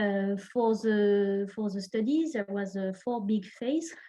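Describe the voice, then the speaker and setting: A woman with a French accent speaks at a fairly slow pace and medium pitch, her voice somewhat breathy with a dark, mellow tone. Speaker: researcher presenting a study. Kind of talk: online presentation. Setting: online session. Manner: halting, many fillers.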